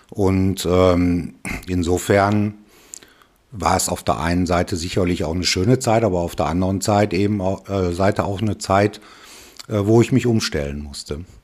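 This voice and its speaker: Speaking at a moderate pace, a man has a very deep, low pitch and ordinary pitch variation. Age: 60s. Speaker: retired father, interview guest. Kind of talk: casual interview.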